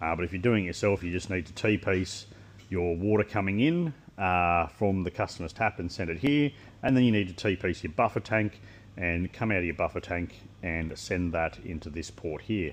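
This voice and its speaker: The voice has an Australian accent and ordinary pitch variation. The background is quiet. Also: man, very deep, low pitch for a man. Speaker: equipment maker demonstrating product. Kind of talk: product walkthrough. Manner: fast; casual.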